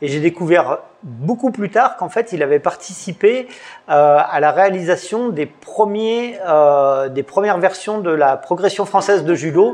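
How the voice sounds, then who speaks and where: Using lively intonation and a high pitch, a man speaks at a fairly slow pace. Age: 50s. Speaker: judo coach and website founder. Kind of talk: interview. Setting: in a dojo. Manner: halting.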